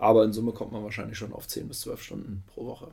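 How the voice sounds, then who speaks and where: A man talks at a very fast pace. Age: 30s. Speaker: amateur footballer and product manager. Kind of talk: interview. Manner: hesitant, many filler sounds.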